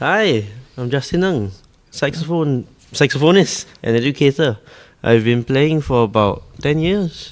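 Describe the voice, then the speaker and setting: A man with a Singaporean accent and a fairly high pitch talks with lively intonation in a very clean recording with a silent background. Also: fairly slow pace. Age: 20s. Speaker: saxophonist. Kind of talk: casual interview chat.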